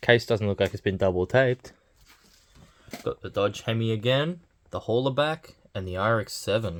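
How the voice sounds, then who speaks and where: At a moderate pace, a man talks at a medium pitch with ordinary pitch variation and long, frequent pauses, in a dry, close recording with no echo. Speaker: toy collector unboxing channel host. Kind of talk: unboxing commentary.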